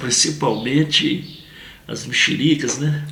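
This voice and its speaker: This man's medium-pitched speech is heard over noticeable background noise. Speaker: memorialist and show host. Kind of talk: interview conversation.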